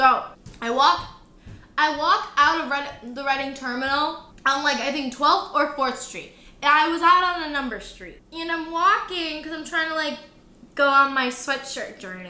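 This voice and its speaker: With an American accent, a woman uses a raised, projected voice with a bright, sharp, animated tone, moving at a moderate pace with big swings in loudness amid audible room echo. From Michigan, Detroit area. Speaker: travel vlogger. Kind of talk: casual chat.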